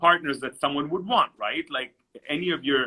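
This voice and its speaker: Lively intonation marks this man's high voice as he talks at a fairly quick pace. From Israel, then moved between countries from age ten. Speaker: entrepreneur and networking coach. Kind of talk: interview.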